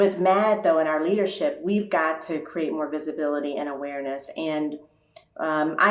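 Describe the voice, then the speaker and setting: The speech has fairly even intonation at a moderate pace. There is audible room echo. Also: woman. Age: 60s. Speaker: nonprofit CEO. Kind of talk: panel discussion. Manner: conversational with frequent fillers.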